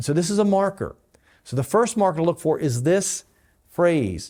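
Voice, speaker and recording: A man with lively intonation, in a very clean recording against a silent background. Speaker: pastor. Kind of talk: bible teaching. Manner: fast.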